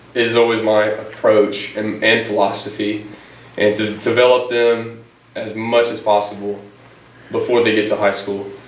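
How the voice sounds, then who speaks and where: Noticeable background noise and audible room echo surround a man with an American accent who speaks at a moderate pace in a fairly low voice. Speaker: teacher and coach. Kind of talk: interview. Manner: energetic; loud.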